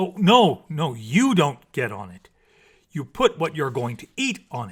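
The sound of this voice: A man puts on a character voice at a fairly high pitch, with a slightly husky edge. He goes at a fairly slow pace, and his pitch swings very widely.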